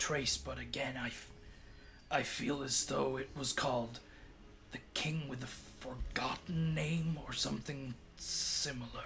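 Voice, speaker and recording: In a put-on character voice, the speaker goes at a fairly slow pace with long, frequent pauses over clear background noise. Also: man, medium pitch for a man. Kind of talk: theatrical poetic phrasing. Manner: formal, stiff, florid.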